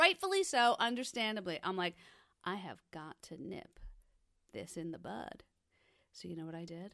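A woman talks at a moderate pace, with big swings in loudness and long, frequent pauses. The recording is very clean with a silent background. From New Jersey. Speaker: podcast host. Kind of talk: casual chat.

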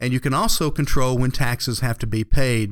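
An American accent and an unremarkable speaking voice belong to this man, who speaks at a fairly quick pace and medium pitch in a very clean recording with a silent background. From Georgia, US South. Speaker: financial advisor. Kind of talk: radio financial advice show.

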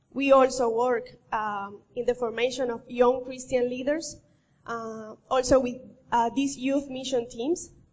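A high-pitched woman with a Colombian accent, fairly slow in pace and fairly even in intonation. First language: Spanish. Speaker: missionary. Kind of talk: church presentation. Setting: church.

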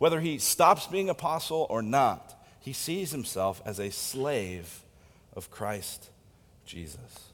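At a very slow pace, a man with a fairly high pitch uses vocal fry, his voice making very wide pitch swings and big swings in loudness. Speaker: pastor. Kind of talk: sermon. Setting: church.

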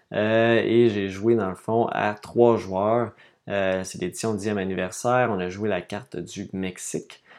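A man's fairly low, monotone voice with flat intonation, at a very slow pace over a quiet background. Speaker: board game podcaster. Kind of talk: casual monologue podcast. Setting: home studio room. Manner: hesitant, many fillers.

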